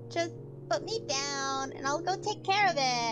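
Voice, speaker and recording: Over loud background music, a man uses a put-on character voice at a moderate pace. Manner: earnest, apologetic promises.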